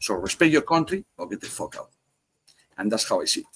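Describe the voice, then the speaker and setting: A man with a strong Spanish accent, at a fairly quick pace, in a dry, close sound with no echo. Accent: heavy Spanish. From Spain. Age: 50s. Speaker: cigar podcast guest. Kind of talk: casual chat. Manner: fast; animated.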